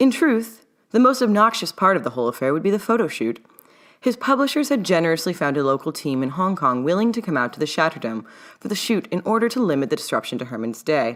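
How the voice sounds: A woman talks at a fast pace with big pitch swings, her pitch low for a woman.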